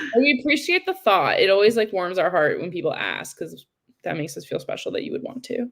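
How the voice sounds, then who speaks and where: Speaking very fast at a fairly high pitch, a woman's voice shows vocal fry, very wide pitch swings and big swings in loudness. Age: 20s. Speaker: livestream co-host. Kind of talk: casual livestream chat.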